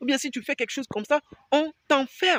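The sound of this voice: With a dry, close sound and no echo, a man speaks in a fairly bright tone.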